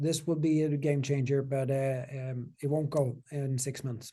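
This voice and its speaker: A man speaks with a non-native accent at a fairly slow pace. His voice is somewhat breathy, with a dark, mellow tone. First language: not English. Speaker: software company CEO. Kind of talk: interview Q&A. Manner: halting.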